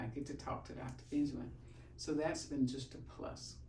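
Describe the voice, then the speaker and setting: Moderate-paced speech from a woman, audible room echo around it. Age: 70s. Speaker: chiropractic patient. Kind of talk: testimony.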